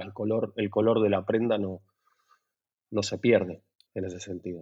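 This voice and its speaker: Speaking with an Argentine accent, a man uses a fairly low, dark, mellow voice in a monotone, flat intonation. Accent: noticeable Argentine (Rioplatense). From Buenos Aires, Argentina. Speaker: lighting designer. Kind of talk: casual interview. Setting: at home. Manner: halting, many repetitions and fillers.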